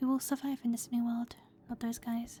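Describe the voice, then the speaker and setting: Soft-spoken and high-pitched, a woman talks with monotone, flat intonation. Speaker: ASMR gaming streamer. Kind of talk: casual gameplay commentary.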